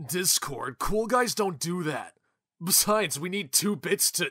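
Raising and projecting his high voice, a man talks at a moderate pace with lively intonation. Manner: casual, easygoing bro talk.

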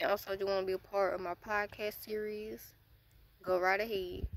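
A woman speaks at a moderate pace with fairly even intonation. The sound is dry with no echo, over light background noise. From United States. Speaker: YouTuber; vlogger. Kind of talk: casual Q&A vlog. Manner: hesitant, many filler words. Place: forest. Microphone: phone near.

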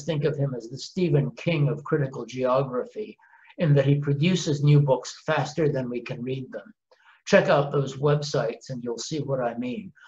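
A man with a somewhat breathy voice speaks at a moderate pace, his loudness swinging widely. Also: ordinary pitch variation. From Canada. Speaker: professor. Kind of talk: recorded introduction. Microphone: webcam.

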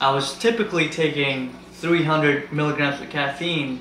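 Over light background noise and audible room echo, a man speaks at a fairly slow pace with fairly even intonation. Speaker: fitness vlogger. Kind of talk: casual vlog chat. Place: kitchen.

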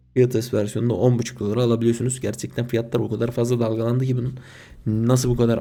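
This man talks at a very fast pace. His medium-pitched voice has a dark, mellow tone. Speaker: gaming YouTuber. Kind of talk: casual video commentary. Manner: casual, slangy.

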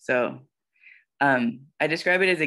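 The background is quiet. The speaker talks with an American accent. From South Carolina, US South. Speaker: letterpress printer. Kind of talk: artist talk presentation. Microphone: video call.

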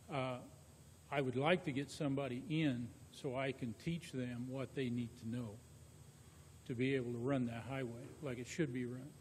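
In an American accent, a man at a medium pitch speaks somewhat breathily at a moderate pace, with fairly even intonation, long, frequent pauses and audible room echo. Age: 60s. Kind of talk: public meeting discussion. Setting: council meeting room with microphones.

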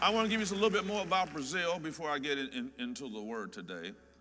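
A man with a bright, sharp tone speaks at a fairly quick pace in very wide pitch swings, with audible room echo. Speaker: pastor. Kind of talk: sermon. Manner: animated.

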